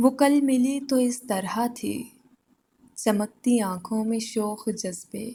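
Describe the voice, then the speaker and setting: A woman speaks with fairly even intonation in a dark, mellow tone that is somewhat breathy. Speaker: poetry reciter. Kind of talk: poetry reading. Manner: emotional, soulful.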